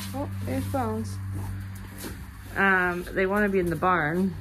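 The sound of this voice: A woman speaks slowly at a medium pitch with lively intonation over clear background noise.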